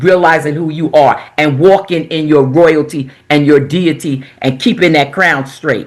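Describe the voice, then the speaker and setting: A woman with an American accent talks at a fairly slow pace, hardly pausing. Her voice is very deep and low, with ordinary pitch variation. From New York (Queens). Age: 70s. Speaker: minister, author. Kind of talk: interview testimony.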